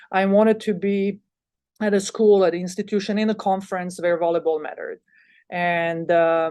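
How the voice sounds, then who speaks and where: A woman speaks with a Bosnian accent at a medium pitch. Her intonation stays fairly even over a quiet background. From Bosnia and Herzegovina. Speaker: college volleyball head coach. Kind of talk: podcast interview. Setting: podcast. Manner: halting, many fillers and repeats.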